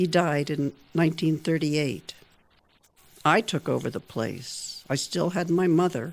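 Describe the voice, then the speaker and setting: A woman's fairly low, fry-tinged voice at a fairly slow pace, on a very clean recording with a silent background. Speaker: writer. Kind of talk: reading own newspaper story aloud.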